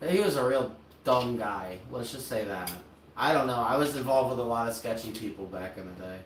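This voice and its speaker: Amid audible room echo and noticeable background noise, a man talks at a fairly quick pace in a medium pitch, with ordinary pitch variation and big swings in loudness. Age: 30s. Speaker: streamer and content creator. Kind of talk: casual chat. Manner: halting, filler-heavy.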